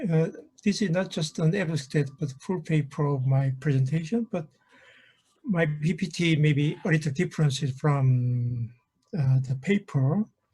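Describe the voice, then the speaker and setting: A man with a Korean accent talks at a moderate pace, his pitch fairly high with ordinary variation. His tone is dark and mellow. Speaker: professor. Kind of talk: conference presentation. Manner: halting.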